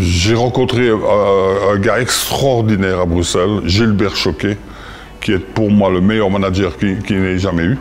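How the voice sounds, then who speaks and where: Over noticeable background noise, a man in a Liège accent speaks at a fairly low pitch with fairly even intonation. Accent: Belgian French (Liège). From Belgium, Liège province (Visé). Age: 70s. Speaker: former boxer and boxing coach. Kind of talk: interview testimony.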